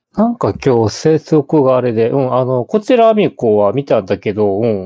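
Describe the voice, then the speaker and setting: A man talks at a moderate pace and medium pitch in an ordinary speaking voice. His intonation is lively. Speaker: podcast co-host. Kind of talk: casual chat.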